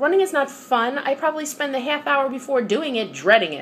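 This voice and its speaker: Amid noticeable background noise, a woman with a New York accent speaks in an animated tone. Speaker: vlogger. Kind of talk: casual vlog monologue.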